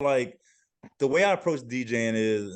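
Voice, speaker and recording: Against a quiet background, the voice moves at a moderate pace with lively intonation. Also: man. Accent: Louisiana. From Louisiana (Lafayette). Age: 40s. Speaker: DJ and dancer. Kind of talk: interview.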